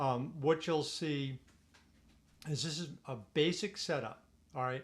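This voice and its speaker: Here a man speaks fairly slowly with ordinary pitch variation. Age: 60s. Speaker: retired attorney giving advice. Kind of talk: informal tutorial. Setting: Zoom recording at home. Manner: halting, many fillers and restarts.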